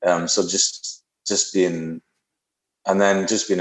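In a Scottish accent, a man speaks with a very deep, low pitch and monotone, flat intonation. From Scotland. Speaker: musician. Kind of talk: casual chat. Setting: video call.

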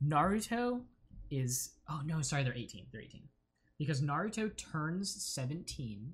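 An American accent carries very wide pitch swings and big swings in loudness. The voice is somewhat breathy, at a moderate pace. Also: man, fairly high pitch for a man. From US South, central Florida. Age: 20s. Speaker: guest. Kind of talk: casual chat.

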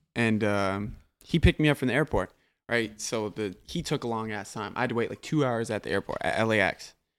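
In an American accent, a man talks at a fairly quick pace and medium pitch. It is an ordinary speaking voice, with a dry, close sound and no echo. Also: ordinary pitch variation. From US Upper Midwest, Minneapolis. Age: 20s. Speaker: rapper and music producer. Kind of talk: casual chat.

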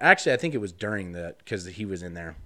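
A man with an American accent, bright, sharp tone and fairly even intonation, on a very clean recording with a silent background. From Wyoming, US. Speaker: podcast guest. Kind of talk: casual chat.

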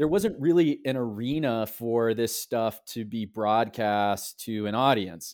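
This man has a plain, everyday voice at a medium pitch with ordinary pitch variation, on a very clean recording with a silent background. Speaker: publisher and writer. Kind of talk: casual interview conversation. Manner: thoughtful, uses fillers.

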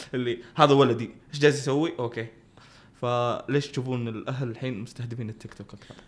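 Using a normal speaking voice, a man talks at a fairly quick pace, a medium pitch and with fairly even intonation. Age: young. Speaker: copywriter. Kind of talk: casual chat.

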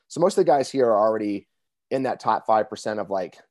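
In a dry, close sound with no echo and a quiet background, a man with a plain, everyday voice speaks fairly quickly at a fairly low pitch. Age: 40s. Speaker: author and men's coach. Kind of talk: casual chat.

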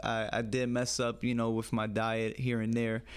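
Someone with a New York accent talks at a fairly slow pace. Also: man. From US Northeast, the Bronx, New York City. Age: young. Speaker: amateur MMA fighter. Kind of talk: casual interview.

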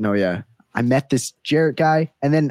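Here a man has an unremarkable speaking voice with ordinary pitch variation and a moderate pace. The sound is dry and close, with no echo. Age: 20s. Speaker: engineering student and podcaster. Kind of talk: casual chat.

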